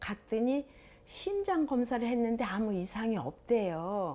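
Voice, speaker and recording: Speech unfolds very slowly in a dark, mellow tone. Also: woman. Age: 60s. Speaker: health show participant. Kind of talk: casual interview testimony.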